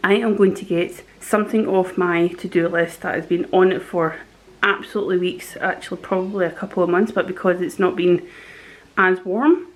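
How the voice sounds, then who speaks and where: The speaker is a woman at a medium pitch. Her intonation is fairly even. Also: moderate pace. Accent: Scottish. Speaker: vlogger. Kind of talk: casual vlog narration.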